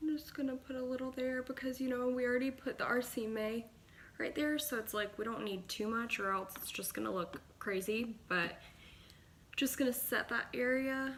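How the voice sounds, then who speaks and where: A woman speaks in a high voice. Her pitch variation is ordinary. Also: moderate pace. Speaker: beauty vlogger. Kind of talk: makeup tutorial. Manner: casual, chatty.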